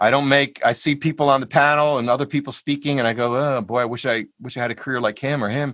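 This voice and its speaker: Against a quiet background, a man with an unremarkable speaking voice talks at a fairly quick pace, with a fairly high pitch and ordinary pitch variation. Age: 60s. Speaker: jazz vibraphonist and music educator. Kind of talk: panel interview. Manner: casual, conversational.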